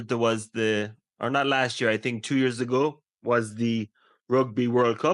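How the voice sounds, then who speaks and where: At a very slow pace, a man with an Irish accent speaks in a medium pitch with fairly even intonation against a quiet background. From Ireland. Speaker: English teacher. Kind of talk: casual conversation.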